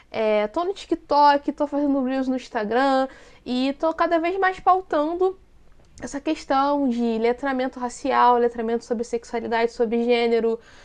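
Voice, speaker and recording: With a Rio de Janeiro accent, a woman speaks at a fairly slow pace in a high pitch with ordinary pitch variation. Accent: Carioca Brazilian Portuguese. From Brazil, Rio de Janeiro city. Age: 30s. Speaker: content creator and activist. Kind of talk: casual interview chat.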